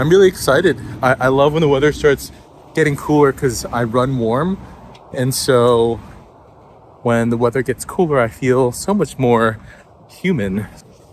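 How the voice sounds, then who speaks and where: The speech moves at a moderate pace with long, frequent pauses and ordinary pitch variation. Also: man, medium pitch for a man. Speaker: vlogger. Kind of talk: casual vlog talk. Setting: outdoors.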